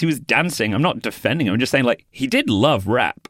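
A man's voice with vocal fry on a very clean recording with a silent background. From Manchester, England. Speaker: comedian and freestyle rapper. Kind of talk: casual interview chat.

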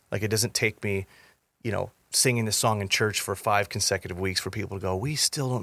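A man's fairly low-pitched, bright, sharp voice at a moderate pace with fairly even intonation, on a very clean recording with a silent background. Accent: American. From Southern California. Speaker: worship pastor. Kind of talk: casual chat.

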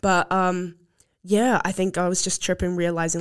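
Speaking fairly slowly, a woman with a New Zealand accent has a fairly low pitch. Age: young. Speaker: podcast host. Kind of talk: casual chat.

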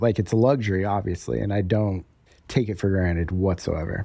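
A man with an American accent talks at a fairly low pitch in a dark, mellow tone. The recording is very clean, with a silent background. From Denver, Colorado. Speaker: coffee shop owner. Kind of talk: casual interview.

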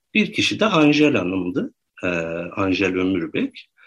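The background is quiet as a man talks with a fairly low pitch. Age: 30s. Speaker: researcher and writer. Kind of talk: interview. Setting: studio.

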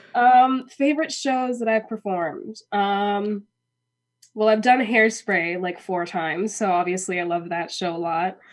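A woman speaks in a plain, everyday voice at a medium pitch. She has an American accent. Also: lively intonation, fairly slow pace, quiet background. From Minnesota, US Midwest. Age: 20s. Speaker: actress, singer and dancer. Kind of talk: casual interview. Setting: studio.

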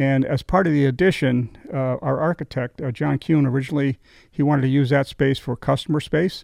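A man with a slight New England accent speaks at a fairly quick pace and a fairly high pitch, with ordinary pitch variation. The sound is dry and close with no echo, over a quiet background. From western Massachusetts. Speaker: winery owner. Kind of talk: casual interview chat. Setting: studio. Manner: halting, hesitant.

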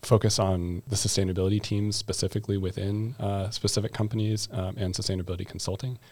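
An ordinary speaking voice comes through with an American accent. The pace is moderate. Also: man. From US. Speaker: master's student. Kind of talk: casual chat.

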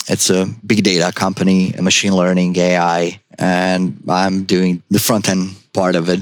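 A man with a Croatian accent talks at a fairly slow pace with hardly any pauses, his very deep, low pitch kept in monotone, flat intonation at very even loudness. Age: 40s. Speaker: junior web developer. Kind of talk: casual interview.

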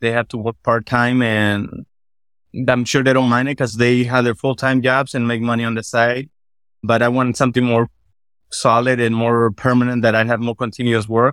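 A man at a medium pitch with monotone, flat intonation and a moderate pace, in a very clean recording with a silent background and a dry, close sound with no echo. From Latin America, immigrant to US. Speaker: landscaping business owner. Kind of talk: interview, coaching conversation.

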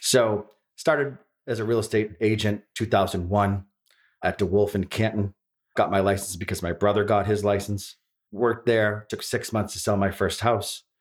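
A man speaks at a moderate pace with a fairly low pitch and a Boston accent, in a very clean recording with a silent background. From East Boston, Massachusetts. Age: 40s. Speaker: real estate broker. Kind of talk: casual chat. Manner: animated.

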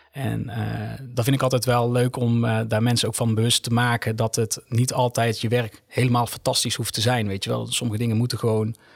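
A man's somewhat breathy monotone with flat intonation and hardly any pauses. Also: medium pitch for a man, fairly quick pace. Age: 20s. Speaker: nurse. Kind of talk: casual chat.

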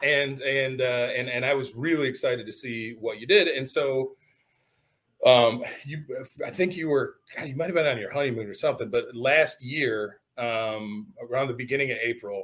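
With a plain, everyday voice, a man talks at a medium pitch, his pitch moving in an ordinary way. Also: moderate pace. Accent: American. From Michigan. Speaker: podcast host. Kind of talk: casual chat.

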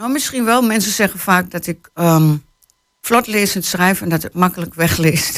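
Pacing herself fairly slowly, a woman talks at a medium pitch with ordinary pitch variation. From Hengelo, Twente (eastern Netherlands). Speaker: novelist. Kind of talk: interview. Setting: radio studio.

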